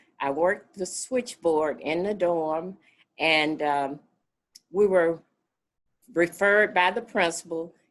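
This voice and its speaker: A woman with a Mississippi accent at a fairly low pitch, speaking at a very slow pace with long, frequent pauses. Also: ordinary pitch variation. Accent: US Southern, Mississippi. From US South, north Mississippi (Marshall County, Oxford). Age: 70s. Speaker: community organizer. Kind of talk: oral history interview.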